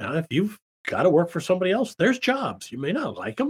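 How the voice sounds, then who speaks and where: Recorded dry and close with no echo, a man with an American accent speaks at a moderate pace with vocal fry and very wide pitch swings. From US Midwest, Davenport, Iowa. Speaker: small business accountant and consultant. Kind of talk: casual interview.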